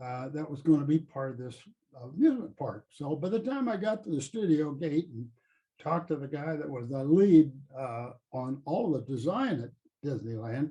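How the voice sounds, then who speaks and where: A man speaks in a fairly high, somewhat breathy voice with a dark, mellow tone. His intonation is lively, and his loudness swings widely. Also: moderate pace. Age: 80s+. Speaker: retired theme park ride designer. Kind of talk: interview storytelling. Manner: hesitant with frequent fillers.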